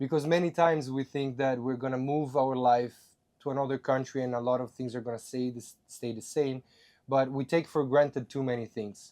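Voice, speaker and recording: A man with an Italian accent and a dark, mellow tone, medium in pitch, at a fairly quick pace with fairly even intonation against a quiet background. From Italy. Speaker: podcast host. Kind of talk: casual chat.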